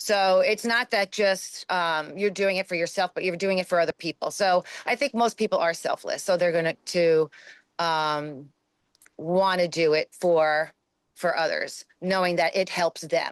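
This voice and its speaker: At a fairly slow pace, a woman speaks at medium pitch with ordinary pitch variation and very even loudness, her voice dry and close with no echo against a quiet background. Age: 50s. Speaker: fitness coach. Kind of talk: interview conversation. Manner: halting, many fillers.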